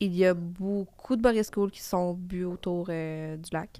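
This woman's pitch sits at a medium level. It varies in an ordinary way. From Quebec. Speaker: TV host and content creator. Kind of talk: casual chat.

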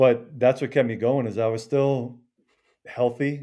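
A man speaks with an American accent at a moderate pace. His tone is dark and mellow, and his intonation stays fairly even. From southeastern Connecticut. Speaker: former pro baseball player. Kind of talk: casual interview chat.

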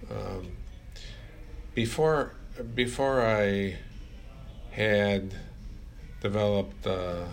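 There is audible room echo around a man whose fairly low pitch shows ordinary variation. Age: old. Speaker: fitness trainer and podcast co-host. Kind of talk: casual chat.

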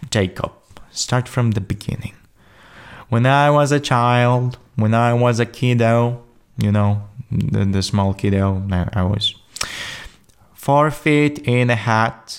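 A man with a Polish accent, medium in pitch, very slow with long, frequent pauses, with ordinary pitch variation and very even loudness. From Poland. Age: 20s. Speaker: podcast host. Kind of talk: solo monologue. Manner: halting, with fillers; improvised, energetic.

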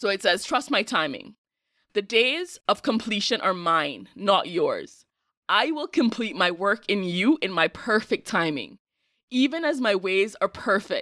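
Recorded very cleanly with a silent background and a dry, close sound with no echo, the American-accented speaker goes at a fairly slow pace with very wide pitch swings and a bright, sharp tone. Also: woman, fairly high pitch for a woman. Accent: Caribbean, sounds somewhat American. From Cayman Islands. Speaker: podcast host. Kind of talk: casual solo monologue podcast.

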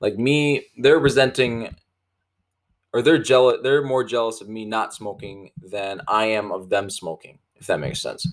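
On a very clean recording with a silent background, a man with a normal speaking voice, medium pitch and ordinary pitch variation talks at a moderate pace, his loudness swinging widely. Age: 20s. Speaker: podcast host and young entrepreneur. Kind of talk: casual solo podcast monologue. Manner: informal with many fillers.

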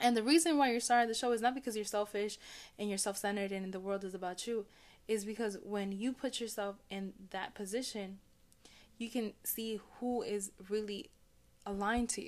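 With an unremarkable speaking voice, a woman talks at a fairly high pitch with fairly even intonation. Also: moderate pace. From Chicago, Puerto Rican family. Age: 30s. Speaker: podcast host, business coach. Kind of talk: casual chat.

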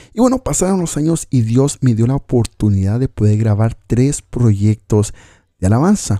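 In a very clean recording with a silent background, a man speaks at a moderate pace with a medium pitch and a dark, mellow tone. His intonation is lively, his loudness very even, and the sound dry and close with no echo. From Mexico (Coatzacoalcos, Veracruz), raised partly in US West Coast. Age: 30s. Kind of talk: personal testimony.

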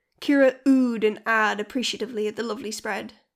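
Fairly even intonation throughout some plain reading aloud.

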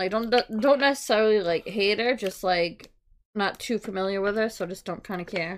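In a plain, everyday voice, a woman speaks at a medium pitch and a moderate pace, with ordinary pitch variation, in a very clean recording over a silent background. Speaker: podcast host. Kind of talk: casual chat.

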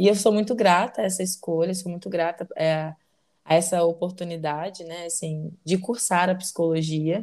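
In a normal speaking voice with fairly even intonation, the speaker goes at a moderate pace with big swings in loudness. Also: woman, fairly low pitch for a woman. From Brazil, Belo Horizonte (Minas Gerais). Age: 20s. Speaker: psychologist, podcast co-host. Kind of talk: casual chat.

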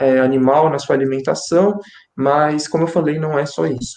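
A man's dark, mellow tone at a fairly high pitch, with fairly even intonation and a moderate pace. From Brazil, Greater São Paulo. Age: 20s. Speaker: student and YouTuber. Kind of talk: online panel discussion.

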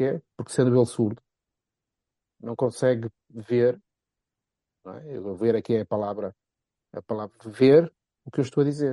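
A man in a Porto accent speaks at a fairly slow pace with long, frequent pauses, his medium-pitched voice dark and mellow in tone, showing ordinary pitch variation and big swings in loudness, recorded dry and close with no echo. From Portugal, Porto. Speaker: football pundit. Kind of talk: casual chat.

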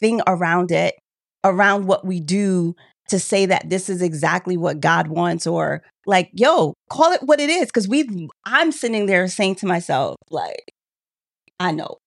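The sound is dry and close with no echo as a woman speaks in a plain, everyday voice at a medium pitch, fairly slowly and with lively intonation. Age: 30s. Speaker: podcast co-host. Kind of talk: casual chat.

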